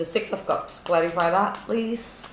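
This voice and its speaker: At a fairly slow pace, someone speaks with a non-native accent. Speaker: tarot reader. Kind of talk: tarot reading. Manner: drawn-out words, hesitant fillers.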